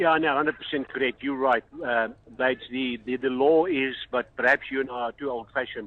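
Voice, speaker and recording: With a South African accent, a man speaks at a moderate pace, with medium pitch and fairly even intonation. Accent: South African (Benoni). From South Africa, Benoni. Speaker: rugby referee. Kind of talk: casual radio interview.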